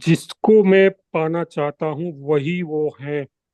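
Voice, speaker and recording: A man with a Gujarati accent speaks in a dark, mellow tone with fairly even intonation. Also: dry, close sound with no echo. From Gujarat, India. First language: Gujarati (speaking Hindi). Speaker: devotee sharing a talk. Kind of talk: spiritual talk.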